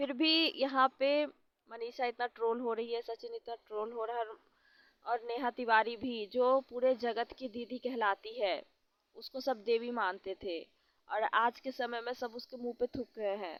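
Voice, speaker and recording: At a fairly slow pace, a woman speaks in a high voice with fairly even intonation. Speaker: vlogger. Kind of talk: casual commentary vlog.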